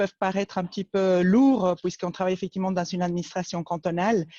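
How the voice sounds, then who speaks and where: In a dry, close sound with no echo and a quiet background, a woman with an Argentine accent speaks at a medium pitch in a dark, mellow tone. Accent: noticeable Argentine accent in French. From Argentina, Buenos Aires. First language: Spanish (speaking French). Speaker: cantonal urban planning official. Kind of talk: webinar presentation. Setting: online webinar. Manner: many hesitations (euh).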